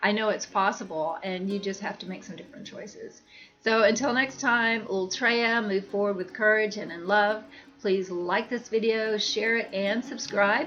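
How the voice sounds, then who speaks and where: A woman speaks at a fairly high pitch with music in the background. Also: ordinary pitch variation, moderate pace, big swings in loudness. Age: 60s. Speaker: wellness coach. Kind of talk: self-help talk to camera. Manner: casual, with many fillers.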